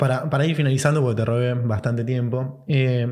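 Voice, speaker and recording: A man with a Rioplatense accent speaks at a medium pitch, with audible room echo around him. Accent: Argentine Rioplatense Spanish. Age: 30s. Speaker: podcast host. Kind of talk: podcast interview.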